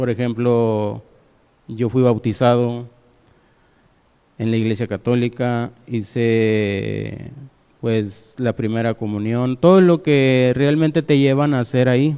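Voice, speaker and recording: Speaking very slowly, a man uses a medium-pitched, dark, mellow voice with ordinary pitch variation. He leaves long, frequent pauses. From Mexico, Monterrey. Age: 30s. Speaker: lay preacher. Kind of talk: testimony. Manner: halting.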